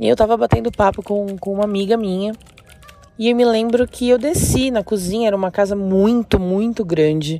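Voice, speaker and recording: A woman's voice, neither fast nor slow, with clearly audible noise in the background. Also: medium pitch for a woman, ordinary pitch variation. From interior of São Paulo state, Brazil. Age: 30s. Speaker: listener sharing a paranormal story. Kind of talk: personal storytelling.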